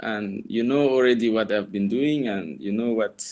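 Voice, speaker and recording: The delivery keeps a moderate pace. Pitch varies in an ordinary way. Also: man. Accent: Cameroonian. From Cameroon. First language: French. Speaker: former fellow and university tutor. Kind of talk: guest talk. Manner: hesitant, many fillers.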